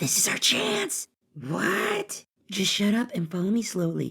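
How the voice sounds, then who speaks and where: A woman's put-on character voice at medium pitch, fairly slow, with lively intonation and very even loudness. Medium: audio drama.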